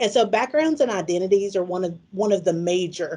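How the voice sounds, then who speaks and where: A woman with a Southern US accent talks at a fairly quick pace in a medium-pitched voice with a dark, mellow tone. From US South, Mississippi. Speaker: pharmacist and conference presenter. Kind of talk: conference presentation. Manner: casual, conversational.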